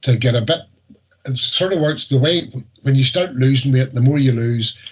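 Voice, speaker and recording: Speaking in a Northern Irish accent, a man with a medium pitch keeps a fairly even intonation and leaves long, frequent pauses. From Northern Ireland. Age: 60s. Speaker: weight loss success story. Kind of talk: interview. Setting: video call.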